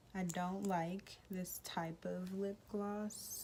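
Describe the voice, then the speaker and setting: There's a woman talking. Noticeable background noise can be heard. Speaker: beauty vlogger. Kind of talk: casual vlog and product review. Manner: slow. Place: home room. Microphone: phone near.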